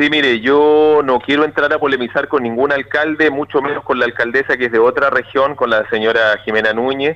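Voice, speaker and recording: An unremarkable speaking voice from a man, fairly high in pitch, at a fairly quick pace, with fairly even intonation and very even loudness. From southern Chile, Río Bueno. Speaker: regional government official. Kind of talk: radio interview. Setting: phone call. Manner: formal.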